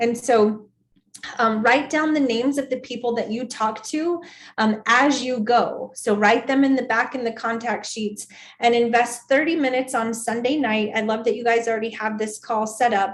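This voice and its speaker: Here is a woman with a normal speaking voice and fairly even intonation. She keeps a moderate pace. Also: fairly high pitch for a woman. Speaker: sales team trainer. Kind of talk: training session.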